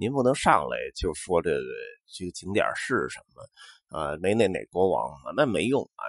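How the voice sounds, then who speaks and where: With a Beijing accent, a man talks in a relaxed tone at a fairly slow pace, the sound dry and close with no echo over a quiet background. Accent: Beijing Mandarin with erhua. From Beijing, Xuanwumen area. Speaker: podcast host. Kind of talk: casual monologue. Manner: relaxed with many fillers.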